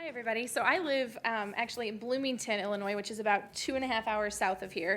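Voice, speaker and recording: Rushing along at a very fast pace with hardly any pauses, a woman with an American accent and fairly high pitch shows ordinary pitch variation. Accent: Chicago accent, coming back. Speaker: podiatric surgeon, conference speaker. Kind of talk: lecture.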